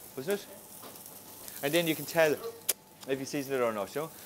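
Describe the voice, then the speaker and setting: Talking very fast, a man is heard over noticeable background noise. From Ireland. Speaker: chef. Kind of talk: cooking class demonstration. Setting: restaurant kitchen in full operation. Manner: animated.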